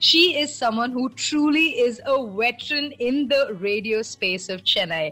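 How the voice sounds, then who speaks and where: Over music in the background, a woman speaks with a high pitch. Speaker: radio jockey. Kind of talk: podcast introduction.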